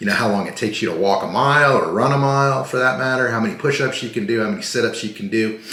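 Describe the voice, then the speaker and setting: A man with an American accent talks at a very fast pace and medium pitch with lively intonation, amid noticeable background noise and audible room echo. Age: 60s. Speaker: vlogger. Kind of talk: casual vlog monologue. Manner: rambling, tangential; casual with filler words.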